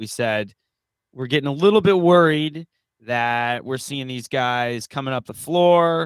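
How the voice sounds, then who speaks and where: Using an ordinary speaking voice, a man with a fairly high pitch talks at a fairly slow pace, his pitch varying in an ordinary way and his loudness swinging widely. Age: 30s. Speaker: podcast co-host. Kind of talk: casual chat.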